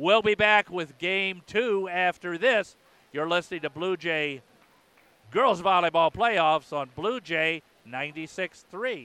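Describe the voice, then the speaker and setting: A man projects his high, bright, sharp voice very slowly with lively intonation, in a dry, close sound with no echo. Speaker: radio play-by-play announcer. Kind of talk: live play-by-play radio commentary of a volleyball match. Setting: radio broadcast from the gym. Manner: energetic, fluent broadcaster delivery.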